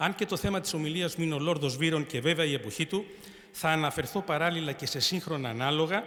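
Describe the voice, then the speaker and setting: This man has an unremarkable speaking voice, fairly high in pitch. He talks at a fairly quick pace. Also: ordinary pitch variation. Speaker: retired army general and speaker. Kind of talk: formal speech. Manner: formal.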